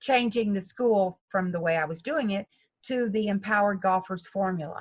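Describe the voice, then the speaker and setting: A woman with a somewhat breathy voice talks at a moderate pace and medium pitch, using ordinary pitch variation. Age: 70s. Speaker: golf instructor. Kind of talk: interview.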